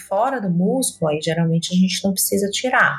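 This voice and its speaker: A woman speaks fairly quickly in a plain, everyday voice with lively intonation. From Salvador, Bahia, Brazil. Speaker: gynecologist. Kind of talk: interview.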